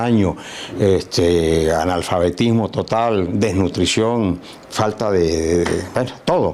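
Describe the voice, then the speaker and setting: Over noticeable background noise, a man with a Lara Venezuelan accent speaks with ordinary pitch variation. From Venezuela, Barquisimeto. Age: 70s. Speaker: physician and musician. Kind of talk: interview. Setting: at home.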